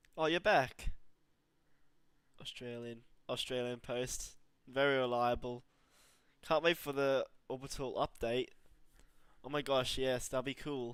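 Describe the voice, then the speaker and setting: A man speaks at a fairly slow pace with long, frequent pauses. His pitch is medium and his intonation fairly even. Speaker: gaming streamer. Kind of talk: live gameplay commentary. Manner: flat, restrained delivery.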